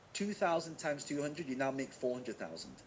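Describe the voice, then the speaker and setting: Energetic in tone, a man speaks at a fairly quick pace. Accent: Manchester. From northern England, Manchester. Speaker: online marketing teacher. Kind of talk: live webinar teaching. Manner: fast; energetic, engaging.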